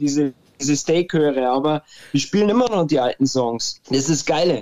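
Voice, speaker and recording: A man's fairly high voice with lively intonation. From Bavaria, Munich. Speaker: indie band singer. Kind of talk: interview. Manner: halting, many fillers.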